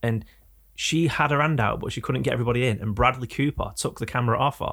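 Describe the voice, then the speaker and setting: A man at medium pitch with an English accent, talking at a very fast pace with ordinary pitch variation, on a very clean recording with a silent background. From England. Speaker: podcast host. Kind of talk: casual chat. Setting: studio.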